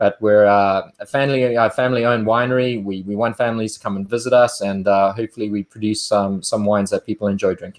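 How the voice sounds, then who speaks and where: With a South African accent, a man talks at a very fast pace with hardly any pauses, his fairly low voice flat and monotone against a quiet background. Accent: South African, smooth. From South Africa, Cape Town. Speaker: winemaker. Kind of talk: interview. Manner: halting, with frequent fillers and repeats.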